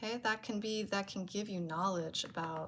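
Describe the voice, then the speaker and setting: This woman's voice is somewhat breathy, with ordinary pitch variation. She speaks at a fairly slow pace. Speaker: tarot reader. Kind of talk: tarot reading.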